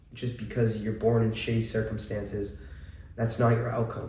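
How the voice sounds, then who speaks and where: A man's medium-pitched voice with an American accent, in audible room echo. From central Massachusetts. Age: 20s. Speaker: vlogger. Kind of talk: personal testimony. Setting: at home. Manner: casual, hesitant with many fillers.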